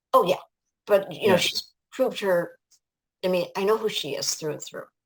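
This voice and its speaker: A woman with an American accent talks at a moderate pace. Her loudness swings widely. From Ohio, USA. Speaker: life coach and author. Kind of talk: interview answer. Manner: enthusiastic.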